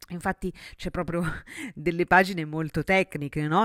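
An animated woman with a very deep, low pitch and ordinary pitch variation, at a fairly quick pace, in a dry, close sound with no echo. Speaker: sexologist and podcast host. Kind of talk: solo podcast monologue.

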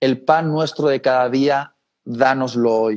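A man's fairly high pitch, with fairly even intonation and a very slow pace. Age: 30s. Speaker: preacher. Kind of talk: interview.

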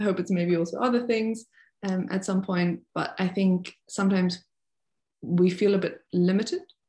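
In a very clean recording with a silent background, a speaker with a German accent talks at a fairly quick pace with fairly even intonation, somewhat breathy, in a dark, mellow tone. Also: woman. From Germany, North Rhine-Westphalia. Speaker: freelance ballet dancer. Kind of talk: casual interview.

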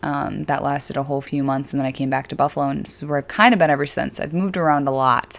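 Speaking with an Upstate New York accent, a woman talks at a very fast pace with hardly any pauses, her very deep, low voice held to fairly even intonation. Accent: Upstate New York (Inland North) American. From Syracuse, central New York State. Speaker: fitness coach and podcast host. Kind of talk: casual monologue. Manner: many filler words.

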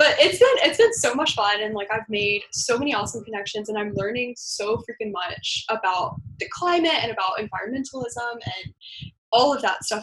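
A woman with an American accent, fairly high-pitched and at a fairly quick pace. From US South, Georgia. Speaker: climate activist and artist. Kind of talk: casual interview.

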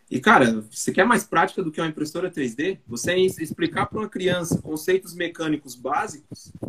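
A high-pitched man talks at a fairly quick pace with lively intonation over noticeable background noise. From South Zone of São Paulo, Brazil. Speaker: production engineer and 3D printing educator. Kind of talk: casual chat.

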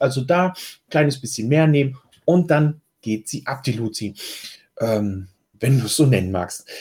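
A man speaks at a moderate pace with a slight eastern German accent. His tone is dark and mellow, and somewhat breathy. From eastern Germany. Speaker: health coach podcast host. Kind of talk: solo podcast answering listener questions. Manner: casual, conversational.

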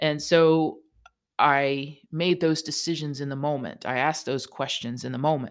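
With a very deep, low pitch, a woman speaks at a moderate pace. Her intonation stays fairly even. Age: 50s. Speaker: podcast host for massage therapists. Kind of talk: solo reflective monologue. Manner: halting, with many fillers and repeats.

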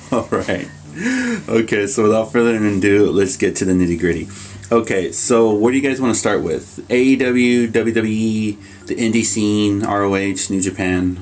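A man speaks in an ordinary speaking voice, fairly low in pitch, with fairly even intonation at a fairly slow pace. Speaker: wrestling podcast co-host. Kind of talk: casual chat.

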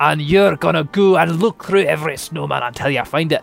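A man puts on a gruff character voice at a fairly high pitch. Music plays in the background.

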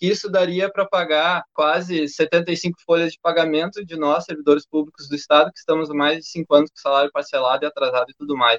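In a plain, everyday voice, a man talks at a fairly quick pace with hardly any pauses, his pitch fairly high and his loudness swinging widely. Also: fairly even intonation, dry, close sound with no echo. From Brazil, Rio Grande do Sul (Canela). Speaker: live stream host, public servant, council candidate. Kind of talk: panel discussion livestream. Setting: online live stream.

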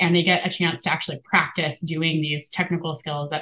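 Talking at a very fast pace, a woman with a fairly low pitch has an American accent. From Appalachia, US. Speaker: scientist and community lab director. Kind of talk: interview conversation. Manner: fast but clear speaker.

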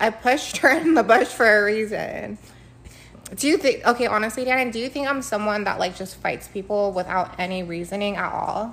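Over noticeable background noise, a woman with an American accent talks at a fairly quick pace in an animated tone, her fairly high pitch showing ordinary variation. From US, Filipino family. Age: 20s. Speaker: podcast co-host. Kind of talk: casual chat. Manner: fast, talkative.

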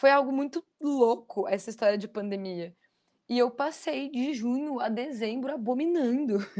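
Lively intonation marks a woman's high-pitched voice as she speaks at a fairly slow pace. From Foz do Iguaçu, Paraná, southern Brazil. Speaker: life coach and trainer. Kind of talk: interview / motivational talk.

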